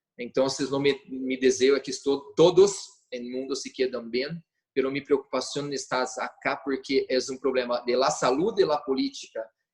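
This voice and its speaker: The speaker has a Portuguese accent and talks with hardly any pauses. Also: moderate pace. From Brazil. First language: Portuguese (speaking Spanish). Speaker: notary. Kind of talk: virtual panel presentation.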